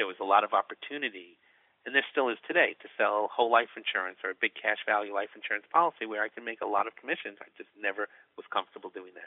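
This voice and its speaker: A man speaks at a very fast pace. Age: 50s. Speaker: certified financial planner. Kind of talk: interview.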